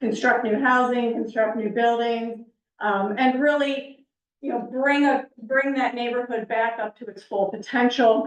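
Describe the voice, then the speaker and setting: Loud and high-pitched, a woman talks at a fairly slow pace. Her intonation stays fairly even. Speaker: planning consultant. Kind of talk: public presentation. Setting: council meeting with audience.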